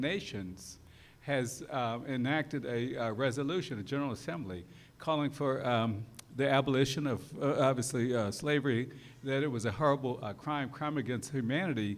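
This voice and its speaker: Room echo can be heard as a man talks at a fairly quick pace. His pitch is medium, with ordinary variation. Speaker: law professor. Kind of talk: lecture. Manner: fast; hesitant, many fillers.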